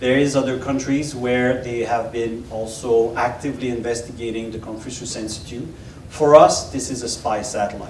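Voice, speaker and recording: A man with a French accent at a moderate pace, big swings in loudness, audible room echo and noticeable background noise. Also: medium pitch for a man, fairly even intonation. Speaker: former intelligence officer. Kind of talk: panel Q&A. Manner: halting.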